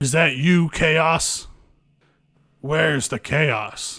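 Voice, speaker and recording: A man's put-on character voice at a fairly high pitch, very slow pace and ordinary pitch variation. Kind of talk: dramatic, tropey. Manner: very serious.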